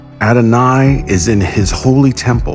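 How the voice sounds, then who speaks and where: A man speaking over music in the background. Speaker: voice actor. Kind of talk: dramatic scripture reading with background music. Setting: studio.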